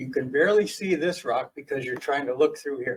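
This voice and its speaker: Somewhat breathy and fairly high, a man's voice moves at a fairly quick pace with ordinary pitch variation. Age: 70s. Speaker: property owner applicant. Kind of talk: presentation at public meeting; answering questions at public meeting. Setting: county planning commission meeting.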